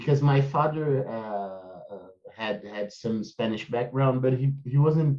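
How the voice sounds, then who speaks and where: A man with a Brazilian accent speaks fairly slowly at a medium pitch in a dark, mellow tone. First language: Portuguese. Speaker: podcast host. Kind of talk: interview conversation. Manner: halting, many fillers.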